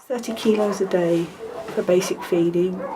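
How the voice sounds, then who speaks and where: A woman's medium-pitched voice is heard with noticeable background noise around it. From Africa. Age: 60s. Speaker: dog rescuer. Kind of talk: documentary interview.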